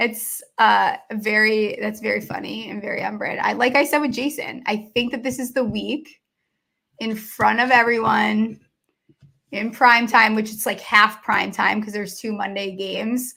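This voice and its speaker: A woman speaks at a moderate pace in a fairly high, bright and sharp voice with vocal fry, fairly even intonation and big swings in loudness. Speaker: sports betting podcast host. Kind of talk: casual chat. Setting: live video broadcast.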